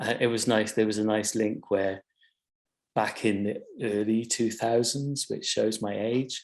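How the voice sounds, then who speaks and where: A man with a South Wales accent, flat and monotone, at a moderate pace against a quiet background. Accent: South Wales Welsh English. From South Wales valleys (Bargoed). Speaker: curator and artist-run gallery director. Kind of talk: webinar panel presentation. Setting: online video call webinar. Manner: hesitant, many fillers.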